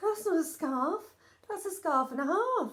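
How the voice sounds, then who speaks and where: The woman puts on a character voice, pitched extremely high and delivered at a moderate speed. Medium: read story. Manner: energetic.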